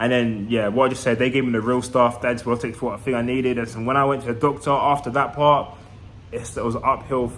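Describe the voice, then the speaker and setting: In a London accent, a man speaks very fast at a medium pitch with monotone, flat intonation. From East London, England. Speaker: vlogger. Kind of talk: casual vlog monologue.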